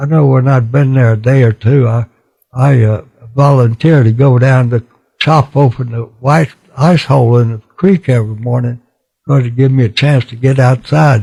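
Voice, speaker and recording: With an American accent, a man speaks at a moderate pace and medium pitch, with fairly even intonation. His tone is dark, mellow and somewhat breathy, and the sound is dry and close with no echo. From Texas, USA. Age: 80s+. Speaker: war veteran, former pilot and POW. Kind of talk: interview answer.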